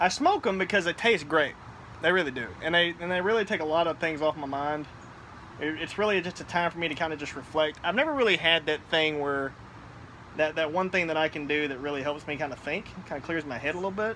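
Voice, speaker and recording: A man with a fairly high pitch talks at a very fast pace, with ordinary pitch variation. Noticeable background noise is present. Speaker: cigar and gaming vlogger, navy veteran. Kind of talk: casual chat. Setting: outdoors on apartment patio. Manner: loud.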